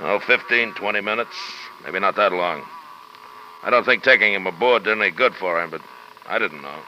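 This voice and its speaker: A gruff, put-on character voice at a moderate pace, with long, frequent pauses, ordinary pitch variation and light background noise. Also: man, fairly low pitch for a man. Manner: gruff, blunt, irritable.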